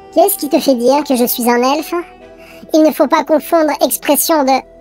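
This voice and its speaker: Someone puts on a character voice and talks at a fairly quick pace. Clear music plays in the background. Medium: read story. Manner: grandiloquent, preachy.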